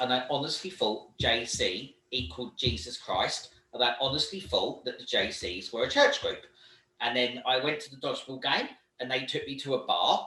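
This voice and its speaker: This man speaks at a moderate pace. He talks with a British accent. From Britain. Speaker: volunteer organisation leader and trainer. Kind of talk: online training talk.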